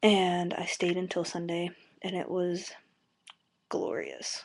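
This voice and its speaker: Against a quiet background, a soft-spoken woman talks at a fairly low pitch. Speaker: college student vlogger. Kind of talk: casual video blog. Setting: webcam at home, late night. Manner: soft-spoken, talking quietly; hesitant, many fillers.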